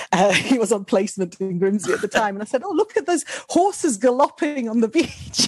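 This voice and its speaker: Someone speaks at a fairly quick pace with a northern English accent. The pitch swings very widely. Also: woman, fairly high pitch for a woman. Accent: generic northern English. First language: not English. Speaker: speaker. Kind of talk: podcast interview.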